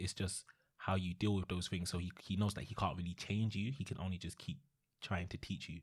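On a very clean recording with a silent background, a man with a London accent speaks at a fairly quick pace in a somewhat breathy voice. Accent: London Multicultural English. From East London. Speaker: podcast co-host. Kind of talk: casual chat.

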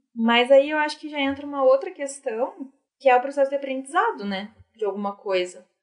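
A woman speaks at a fairly quick pace with high pitch. Her intonation is lively, and her loudness swings widely. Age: 20s. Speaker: financial consultant. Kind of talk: casual chat.

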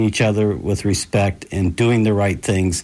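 A man with an American accent and a normal speaking voice, fairly low in pitch, at a moderate pace. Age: middle-aged. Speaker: town mayor. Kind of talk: radio interview.

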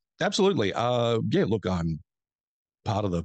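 With an Australian accent, the voice sounds dry and close with no echo over a quiet background. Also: man. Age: 50s. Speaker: film critic and podcaster. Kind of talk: casual chat.

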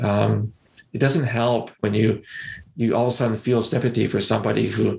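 This man speaks in a Canadian accent at a medium pitch, with vocal fry. His intonation is monotone and flat, and his pace is moderate. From Canada, London, Ontario. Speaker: former intelligence analyst and counterterrorism expert. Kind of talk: podcast interview.

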